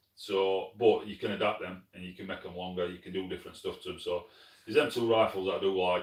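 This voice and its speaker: A man talks at a fairly quick pace with a Yorkshire accent. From northern England, Sheffield, South Yorkshire. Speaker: pest control shooter, channel host. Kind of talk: live stream chat reading comments. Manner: casual, conversational.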